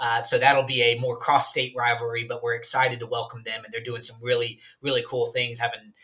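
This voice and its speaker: Talking at a fairly quick pace, a man holds a medium pitch and a monotone, flat intonation while his loudness swings widely. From Alabama, US South.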